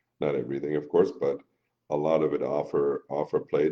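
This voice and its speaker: A man at a moderate pace. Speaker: business partner. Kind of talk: live stream chat. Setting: live video stream. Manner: commanding.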